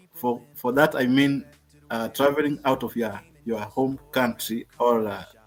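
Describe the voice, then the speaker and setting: Over background music, a man with a Kenyan accent talks at a fairly slow pace and medium pitch, with fairly even intonation. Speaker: travel channel host. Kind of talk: casual chat. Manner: halting.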